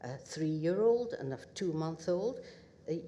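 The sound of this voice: A woman's low voice, dark and mellow in tone, at a fairly slow pace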